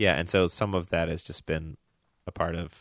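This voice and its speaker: Over a quiet background, a man with a slight Southern US accent speaks at a very deep, low pitch with fairly even intonation, in a dry, close sound with no echo. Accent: slight Southern, barely audible. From US South, Memphis. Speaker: podcast co-host and designer. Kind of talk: casual chat.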